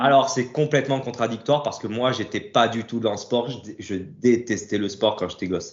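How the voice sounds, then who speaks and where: A man talks at a moderate pace with hardly any pauses and ordinary pitch variation. He has a medium pitch and a normal speaking voice. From Corsica (Ajaccio), France. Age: 30s. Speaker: fitness coach and bodybuilder. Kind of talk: casual interview.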